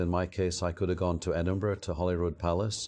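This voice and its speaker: A man speaks with a Scottish accent at a fairly quick pace, his pitch very deep and low. His tone is dark and mellow, and his intonation is monotone and flat. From Scotland. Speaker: former pharmaceutical company CEO. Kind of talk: interview.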